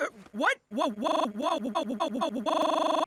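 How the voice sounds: The delivery is a cartoonish character voice. It moves at a fairly slow pace.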